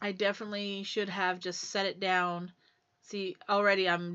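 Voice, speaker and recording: A woman speaks in a monotone, flat way at medium pitch. Her pace is moderate. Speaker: craft video creator. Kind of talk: tutorial.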